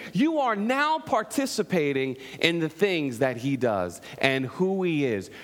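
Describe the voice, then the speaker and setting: Speaking at a fairly slow pace, a man with a fairly high pitch sounds animated, his pitch swinging very widely over noticeable background noise. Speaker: pastor. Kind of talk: sermon. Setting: church. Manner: loud.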